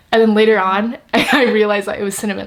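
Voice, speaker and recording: A woman talks at a very fast pace while noticeable background noise runs underneath. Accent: American. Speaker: YouTuber, student. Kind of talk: casual chat.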